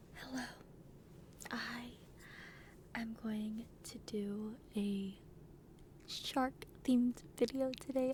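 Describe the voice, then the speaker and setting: A woman's dark, mellow voice shows ordinary pitch variation and long, frequent pauses. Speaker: ASMR content creator. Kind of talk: ASMR trigger video, soft casual talk to camera. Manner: enthusiastic, stumbling, stuttering.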